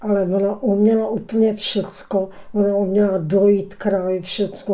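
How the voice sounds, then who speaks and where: Very slow and monotone with flat intonation, the speech comes through noticeable background noise. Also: woman. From Czechia, Prague area (Klánovice). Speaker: local elder recounting memories. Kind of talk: interview reminiscence. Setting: studio. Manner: halting, repetitive.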